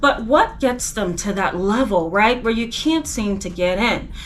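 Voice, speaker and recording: Against noticeable background noise, a woman speaks at a moderate pace, fairly high in pitch with ordinary pitch variation. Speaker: licensed professional counselor, therapist. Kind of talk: educational talk to camera. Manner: conversational, casual.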